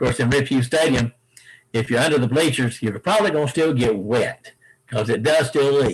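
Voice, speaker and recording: A man speaks in a somewhat breathy voice. His loudness stays very even throughout. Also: medium pitch for a man, ordinary pitch variation, moderate pace. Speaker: stadium announcer. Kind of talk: interview answer.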